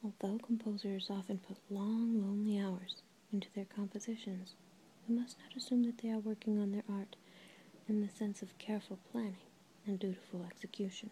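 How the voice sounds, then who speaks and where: A woman whispers at a fairly quick pace. Her voice is soft-spoken. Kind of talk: soft-spoken audiobook-style reading of a book. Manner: very soft-spoken, near-whisper.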